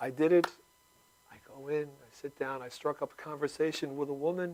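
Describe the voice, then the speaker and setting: A man talks at a fairly quick pace with a fairly high pitch and big swings in loudness. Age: 60s. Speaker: comedic video maker and performer. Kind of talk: talk show interview. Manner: animated.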